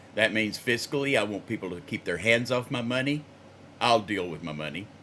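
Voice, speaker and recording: A man's fairly low voice, bright and sharp in tone, with lively intonation and a fairly quick pace. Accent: American. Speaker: singer recording covers. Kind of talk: casual chat.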